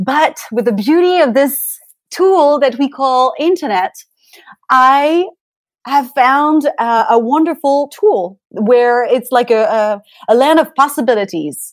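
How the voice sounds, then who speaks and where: With a French accent, a woman speaks very slowly in a high voice, her intonation lively. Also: very even loudness. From France, Paris. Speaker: pilates instructor and beauty coach. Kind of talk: interview.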